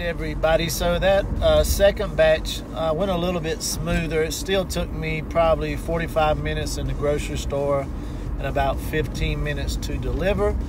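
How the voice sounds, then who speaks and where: A man speaks at a moderate pace with a dry sound and no echo. Background noise is noticeable. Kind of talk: casual vlog chat. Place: car. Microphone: phone near.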